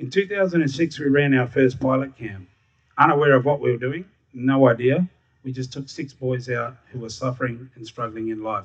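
Against a quiet background, a man with a medium pitch and a somewhat breathy voice talks at a moderate pace, with ordinary pitch variation and big swings in loudness. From Darwin, Northern Territory, Australia. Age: 40s. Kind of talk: live storytelling. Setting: stage with audience.

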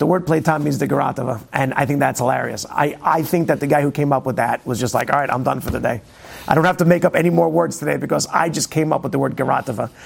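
A man's fairly high voice at a very fast pace, with lively intonation over noticeable background noise. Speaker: Torah teacher. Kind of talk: Torah class lecture. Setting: classroom with audience. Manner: informal, humorous, hesitant with fillers.

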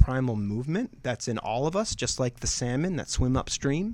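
With an American accent, a man speaks in a medium pitch at a moderate pace on a very clean recording with a silent background. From Pennsylvania. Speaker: fitness coach. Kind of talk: casual chat. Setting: studio. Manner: animated.

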